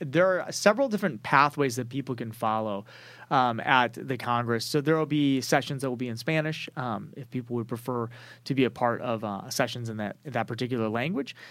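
A man with an ordinary speaking voice, medium-pitched with ordinary pitch variation, at a fairly quick pace, in a very clean recording with a silent background. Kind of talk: interview answers. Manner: articulate, organized.

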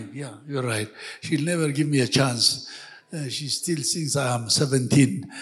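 Ordinary pitch variation shapes a somewhat breathy voice. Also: man, fairly high pitch for a man, fairly slow pace. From western Ethiopia. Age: 70s. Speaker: church elder. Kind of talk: testimony. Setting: church service with congregation.

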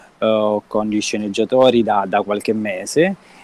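Recorded with a dry, close sound and no echo, a man speaks in a dark, mellow tone. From Calabria, Reggio Calabria. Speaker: film director. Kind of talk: casual interview. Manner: halting, with repeated words.

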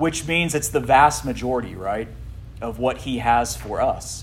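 A man with a plain, everyday voice speaks fairly slowly at a medium pitch, with ordinary pitch variation. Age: 40s. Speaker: pastor. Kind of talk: youth Bible teaching. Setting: youth group room with audience.

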